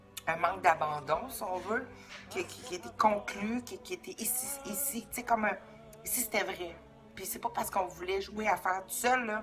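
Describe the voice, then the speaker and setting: A woman with a Quebec accent speaks at medium pitch and a moderate pace, with ordinary pitch variation. Her loudness swings widely, and music plays in the background. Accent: Québécois. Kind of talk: casual spiritual talk to camera.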